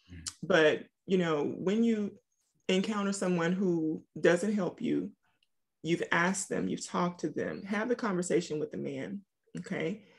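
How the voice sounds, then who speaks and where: With vocal fry, a woman talks using ordinary pitch variation. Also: quiet background. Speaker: author and single-mom coach; single-mom coach. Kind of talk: casual interview. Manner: animated. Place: home room. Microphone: video call.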